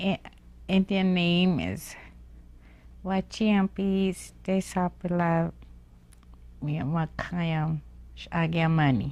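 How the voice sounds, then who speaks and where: The speaker is a woman with a Lakota accent. The recording is very clean, with a silent background. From US Great Plains, Pine Ridge area, South Dakota. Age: old. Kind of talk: oral history interview. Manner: halting, many fillers.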